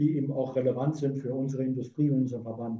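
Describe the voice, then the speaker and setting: Somewhat breathy and monotone, with flat intonation, a man speaks amid audible room echo. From Saarland, Germany. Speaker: physicist and company director. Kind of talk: interview.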